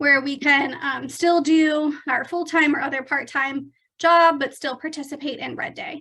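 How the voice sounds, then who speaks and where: A woman projects a raised, high, bright, sharp voice in a flat monotone, with big swings in loudness. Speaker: real estate trainer. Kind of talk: online training presentation.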